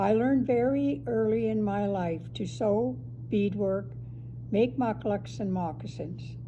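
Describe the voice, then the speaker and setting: A fairly slow delivery with a western Canadian accent and audible room echo. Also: woman. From northern Alberta, Canada (Fort Vermilion). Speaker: Métis elder. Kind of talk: prepared personal statement.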